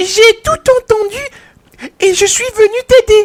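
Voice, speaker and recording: In a put-on character voice, squeaky and extremely high, the speaker moves at a fairly slow pace. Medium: read story. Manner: cheerful, gushing.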